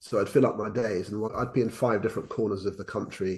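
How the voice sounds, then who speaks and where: A man speaks with a southern English accent over a quiet background. His voice is somewhat breathy. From England. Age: 60s. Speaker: educational consultant and former headteacher. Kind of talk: casual interview chat. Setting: remote call. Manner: hesitant, with frequent repetitions.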